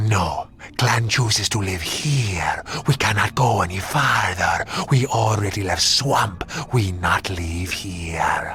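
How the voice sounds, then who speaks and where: This is a put-on character voice at a fairly slow pace. Clear background noise is present. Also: man, fairly low pitch for a man. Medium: machinima. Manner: broken, clipped speech; hostile.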